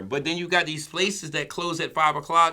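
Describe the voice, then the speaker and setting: A man speaks at a fairly quick pace in a bright, sharp tone. The recording is very clean, with a silent background. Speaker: podcast co-host. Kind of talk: casual discussion. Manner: fast.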